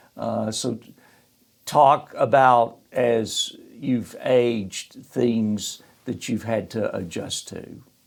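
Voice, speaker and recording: Speaking very slowly in a Southern US accent, a man lets his loudness swing widely. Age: 60s. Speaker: podcast host, financial firm CEO. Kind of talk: casual interview.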